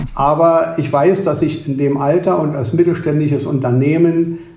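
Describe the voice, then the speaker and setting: A man at a moderate pace, with audible room echo around his voice. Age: 70s. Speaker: managing director of an ice cream company. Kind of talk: interview.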